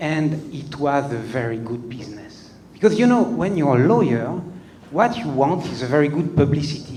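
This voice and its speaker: Somewhat breathy and fairly high in pitch, a man speaks with a French accent amid audible room echo. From France. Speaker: comedian. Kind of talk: stand-up. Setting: stage with audience. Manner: hesitant, many fillers.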